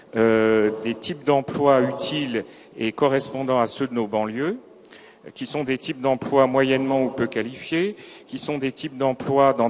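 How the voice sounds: The man's medium-pitched voice moves at a moderate pace with fairly even intonation.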